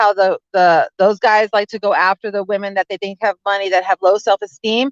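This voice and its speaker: The tone is animated and the pace moderate. The sound is dry and close, with no echo. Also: woman. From Italian-American background. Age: 40s. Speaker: lawyer and small business consultant. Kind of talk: casual chat. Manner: loud.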